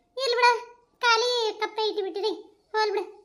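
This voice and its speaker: A woman performs a squeaky, put-on character voice. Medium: comedy sketch. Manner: brash, boastful.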